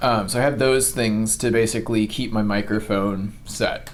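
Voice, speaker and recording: Audible room echo around a man's fairly low voice. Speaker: gaming youtuber. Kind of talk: tutorial. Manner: tends to get loud; many filler ums, halting. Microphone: cheap lapel microphone.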